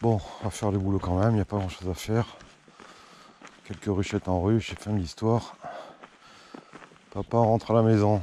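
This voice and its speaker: Over noticeable background noise, a man with a fairly low pitch speaks at a fairly quick pace in a monotone, flat intonation, leaving long, frequent pauses. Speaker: beekeeper. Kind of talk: casual vlog narration.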